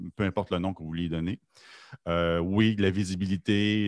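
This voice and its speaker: Against a quiet background, a man talks at a fairly low pitch in a flat monotone, the sound dry and close with no echo. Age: 50s. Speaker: podcast co-host. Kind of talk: casual chat.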